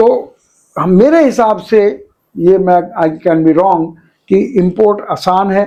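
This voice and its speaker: A man's high-pitched voice, dark and mellow in tone, at very even loudness. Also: ordinary pitch variation. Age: 70s. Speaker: business consultant. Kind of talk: interview.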